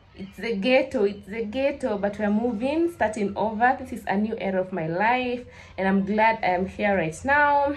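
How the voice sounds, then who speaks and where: At a moderate pace, a woman speaks with hardly any pauses and ordinary pitch variation. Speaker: vlogger. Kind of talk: casual vlog chat. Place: home room. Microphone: phone near.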